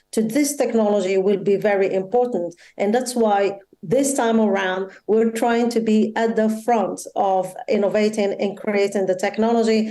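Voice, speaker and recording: Her accent is Moroccan. The woman speaks at a fairly high pitch and a moderate pace. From Morocco. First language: Moroccan Arabic. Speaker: tech company policy manager. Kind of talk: opening speech.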